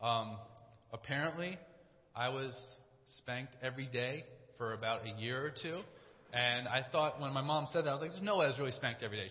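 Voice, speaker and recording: The speech comes at a very fast pace with lively intonation, yet long pauses occur often. Noticeable background noise is present. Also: man, medium pitch for a man. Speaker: church staff preacher. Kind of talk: sermon. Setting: church. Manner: fast talker.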